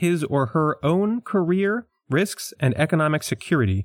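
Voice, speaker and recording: A man with an American accent and lively intonation, in a very clean recording with a silent background. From New York / Philadelphia area, US.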